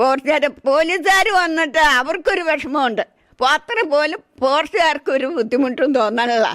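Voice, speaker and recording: The speaker is a woman with a high pitch. Her loudness stays very even throughout. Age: 70s. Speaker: elephant attack eyewitness. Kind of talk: emotional testimony. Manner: animated.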